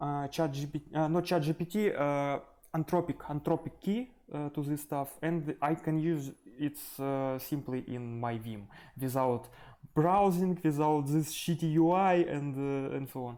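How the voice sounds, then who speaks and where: The recording is very clean, with a silent background. The pace is fairly slow. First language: not English. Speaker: programming YouTuber. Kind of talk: live coding tutorial. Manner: halting, many fillers.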